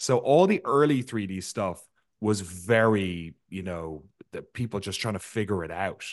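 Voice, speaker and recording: A man with a fairly low pitch and an Irish accent, at a fairly slow pace. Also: ordinary pitch variation, big swings in loudness. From Ireland. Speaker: video game documentary maker. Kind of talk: interview.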